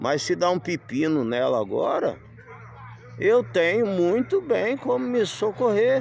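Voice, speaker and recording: Moving very slowly, a man's voice makes very wide pitch swings. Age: 60s. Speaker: vlogger living in a camper van. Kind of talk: casual vlog monologue. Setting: outdoors.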